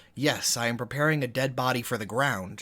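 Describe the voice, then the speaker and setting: Doing a put-on character voice, a man sounds raspy, keeping fairly even intonation at a fairly quick pace. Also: medium pitch for a man. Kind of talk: comic imitation. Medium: solo performance.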